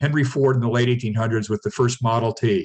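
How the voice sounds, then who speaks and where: Very fast male speech, somewhat breathy, with ordinary pitch variation. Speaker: startup mentor giving a business workshop. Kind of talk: lecture.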